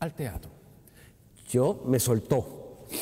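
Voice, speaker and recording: In a dark, mellow tone, a man speaks at a very slow pace. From Puerto Rico, Río Piedras; Puerto Rico. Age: 60s. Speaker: actor and retired theatre technical director; actor. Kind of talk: interview. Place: hall.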